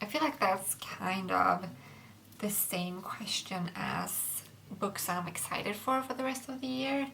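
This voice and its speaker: With a Swedish accent and lively intonation, the speaker goes at a very slow pace amid audible room echo and noticeable background noise. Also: woman. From Sweden. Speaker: book youtuber. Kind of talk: casual chat. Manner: halting.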